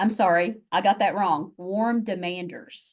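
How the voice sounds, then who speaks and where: This is a woman with a Southern US accent at medium pitch. The background is quiet. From US South, Chattanooga, Tennessee. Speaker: university faculty member, presenter. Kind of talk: webinar presentation.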